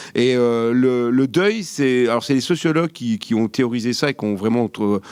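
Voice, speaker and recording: This man talks at a moderate pace with a medium pitch, ordinary pitch variation, and a Vosges accent. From France, Vosges. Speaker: geography academic, panelist. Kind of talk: panel discussion. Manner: hesitant, many fillers.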